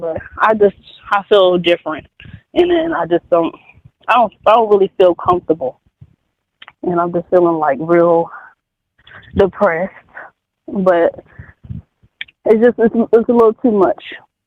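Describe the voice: A man with a high pitch and vocal fry speaks at a fairly slow pace with lively intonation and long, frequent pauses, in a dry, close sound with no echo.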